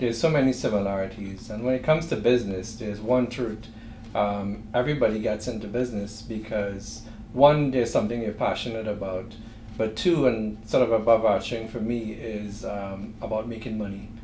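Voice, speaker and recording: In a Trinidadian accent, a man with a fairly low voice speaks fairly quickly with fairly even intonation over noticeable background noise and audible room echo. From Trinidad and Tobago. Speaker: entrepreneur. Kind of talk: interview.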